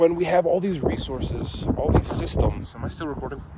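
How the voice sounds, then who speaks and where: A man with an American accent, fairly high in pitch, at a moderate pace over noticeable background noise. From northern Michigan (Gaylord). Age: 20s. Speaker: vlogger. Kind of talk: casual monologue. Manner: rambling, halting with fillers.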